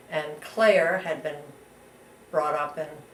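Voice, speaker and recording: Noticeable background noise and audible room echo around speech with ordinary pitch variation. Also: woman. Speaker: interviewee recounting family history. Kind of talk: oral history interview. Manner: halting.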